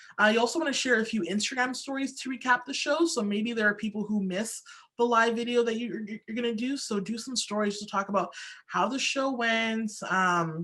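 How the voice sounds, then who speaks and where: A woman's bright, sharp voice sits at fairly high pitch, moving at a fairly quick pace with ordinary pitch variation. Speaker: social media marketing speaker. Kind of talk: webinar presentation. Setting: online webinar. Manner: fast.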